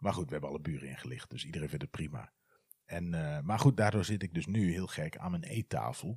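A man talks at a very fast pace in a very deep, low pitch, with lively intonation and vocal fry. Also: dry, close sound with no echo. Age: 40s. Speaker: podcaster. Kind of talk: casual monologue.

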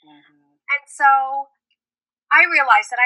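Her raised, projected voice sits at a high pitch with a bright, sharp tone, recorded as a dry, close sound with no echo. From New York / New Jersey. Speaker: yoga therapist. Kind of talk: casual interview.

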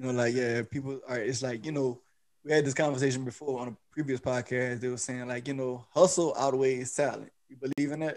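A man's ordinary speaking voice, medium in pitch, with fairly even intonation, big swings in loudness and a fairly quick pace. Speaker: podcast host. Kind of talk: casual interview.

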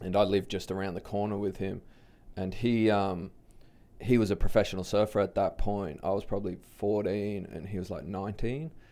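Speaking at a fairly quick pace, a man with an Australian accent has a fairly low pitch and a dark, mellow tone. His intonation is fairly even, and the recording is very clean with a silent background. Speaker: big wave surfer and public speaker. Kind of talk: casual interview conversation. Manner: casual, laid-back.

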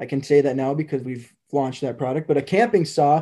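Fairly high-pitched with a dark, mellow tone, a man speaks at a fairly quick pace with fairly even intonation against a quiet background. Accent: Upper Midwest. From northern Minnesota, near Duluth. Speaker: manufacturing company vice president. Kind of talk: interview. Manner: hesitant with many fillers.

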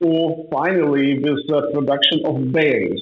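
A man with a Ukrainian accent and a fairly high pitch. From northern Ukraine. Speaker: agribusiness owner. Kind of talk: interview.

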